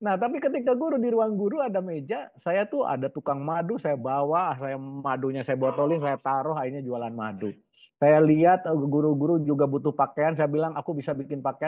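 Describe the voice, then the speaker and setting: A man with a West Javanese accent speaks at a fairly quick pace and a fairly high pitch, with ordinary pitch variation. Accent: Sundanese. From West Java, Indonesia (Ciamis). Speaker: business coach. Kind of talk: webinar talk. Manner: casual, conversational.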